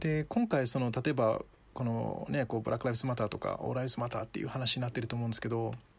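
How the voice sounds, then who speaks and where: This man speaks very fast, with a medium pitch and a somewhat breathy quality. His intonation stays fairly even. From Japan. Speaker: guest with Ghanaian roots. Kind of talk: casual chat. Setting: remote call from home.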